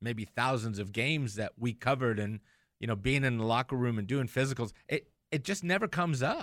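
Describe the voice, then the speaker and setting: Lively intonation runs through a plain, everyday voice at a moderate pace, on a very clean recording with a silent background. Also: man. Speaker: radio host and orthopedic surgeon. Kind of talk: live radio show talk, casual. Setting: studio.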